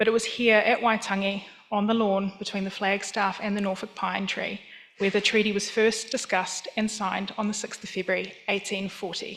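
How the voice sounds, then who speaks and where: The speaker has a New Zealand accent and a monotone, flat intonation. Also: woman, medium pitch for a woman, moderate pace. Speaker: museum professional. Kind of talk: conference talk. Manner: formal.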